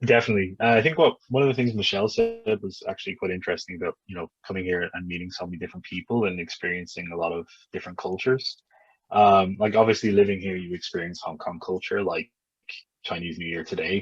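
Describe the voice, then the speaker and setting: A man with an Irish accent at a very fast pace, fairly low in pitch with ordinary pitch variation, big swings in loudness, dry and close with no echo. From Ireland. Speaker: English teacher abroad. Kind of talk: interview. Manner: casual, hesitant with fillers.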